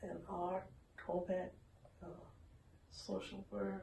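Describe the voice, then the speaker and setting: A very slow delivery in a Southern US accent. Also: woman. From southern Virginia. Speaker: retired music teacher, civil rights activist. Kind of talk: oral history interview answer.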